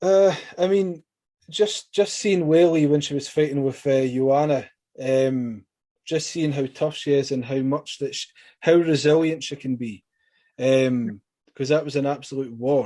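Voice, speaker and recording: In a Scottish accent, a man speaks at a fairly high pitch. His tone is dark and mellow, with ordinary pitch variation. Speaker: MMA interviewer. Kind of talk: interview. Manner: fast.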